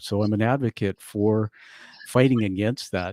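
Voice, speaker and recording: A man with a plain, everyday voice talks at a moderate pace and a fairly low pitch. His intonation stays fairly even, and the recording is very clean with a silent background. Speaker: interviewer. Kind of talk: interview question.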